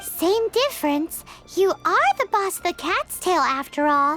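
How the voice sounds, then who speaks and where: An extremely high, squeaky put-on character voice at a moderate pace, with clear music in the background. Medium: video game. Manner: excitable, blunt.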